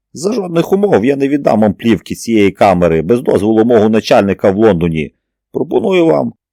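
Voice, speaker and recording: Using a put-on character voice, a man talks fairly quickly at a medium pitch, shrill and with very wide pitch swings and very even loudness, in a dry, close sound with no echo. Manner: shrill, defiant.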